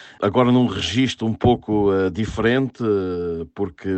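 A man's fairly low voice, fairly slow, with fairly even intonation. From Portugal, inland Algarve. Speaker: sports journalist. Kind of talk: interview. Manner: halting.

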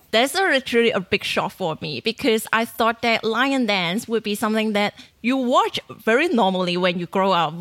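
At a moderate pace and with few pauses, a woman speaks in a fairly bright tone. Her fairly high pitch carries lively intonation.

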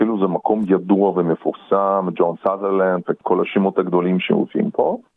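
A man speaks at a moderate pace with very even loudness and hardly any pauses. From Russia (Perm), raised in Israel from teens. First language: Russian (speaking Hebrew). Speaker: opera singer. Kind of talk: interview.

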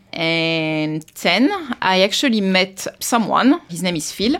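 A woman with a French accent talks very slowly at a medium pitch. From France, Versailles. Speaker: immigrant sharing life story. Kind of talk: interview. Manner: halting.

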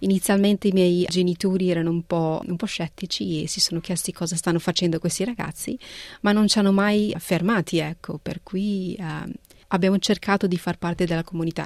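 Woman with a Punjabi accent, fairly low pitch and fairly even intonation at a fairly quick pace, with a dry, close sound and no echo. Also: very clean recording, silent background. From northern Italy, raised there from age 11 after early childhood in Punjab. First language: Punjabi (speaking Italian). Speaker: art restorer. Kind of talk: interview. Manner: halting, with frequent repetitions.

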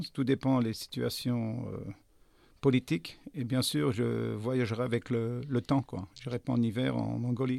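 At a very slow pace, a man speaks at a medium pitch with ordinary pitch variation, the sound dry and close with no echo. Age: 60s. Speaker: restaurant owner. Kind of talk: interview. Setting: studio. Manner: halting.

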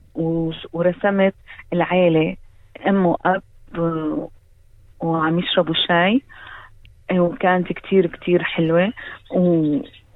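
A woman's fairly low voice at a very slow pace, with long, frequent pauses and fairly even intonation. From Syria, Damascus. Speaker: painter and art teacher. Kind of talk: interview. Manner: halting.

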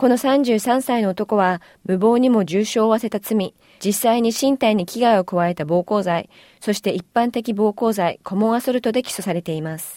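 A woman with a dark, mellow tone and a fairly high pitch, at a moderate pace, in a very clean recording with a silent background. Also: ordinary pitch variation, dry, close sound with no echo. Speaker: radio newsreader. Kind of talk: news reading, scripted bulletin. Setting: studio. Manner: formal, steady, even-paced; neutral, objective newscaster delivery.

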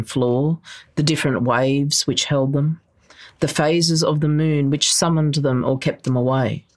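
In an Australian accent, a woman talks with a very deep, low pitch. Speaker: novelist. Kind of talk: literary novel reading aloud. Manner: measured, lyrical, slow-paced reading.

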